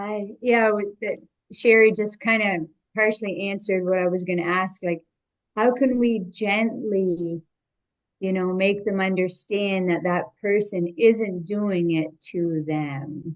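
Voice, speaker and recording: In an ordinary speaking voice, a woman talks at a medium pitch and fairly slow pace with ordinary pitch variation. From Canada. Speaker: workshop participant. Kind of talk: group discussion.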